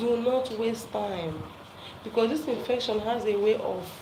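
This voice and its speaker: A woman talks fairly slowly, and the room echo and background noise are both noticeable. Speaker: health talk presenter. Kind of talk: live talk to viewers. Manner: loud; animated.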